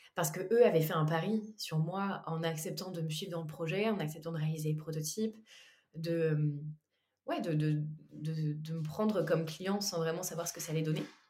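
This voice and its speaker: A woman's fairly low voice at a moderate pace, with fairly even intonation and audible room echo. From western France, Anjou. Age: 20s. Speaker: entrepreneur. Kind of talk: casual chat.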